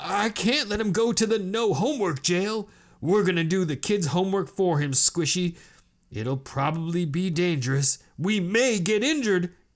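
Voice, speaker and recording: A man puts on a character voice at a high pitch. The recording is very clean with a silent background. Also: moderate pace. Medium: read story. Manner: excitable, boisterous.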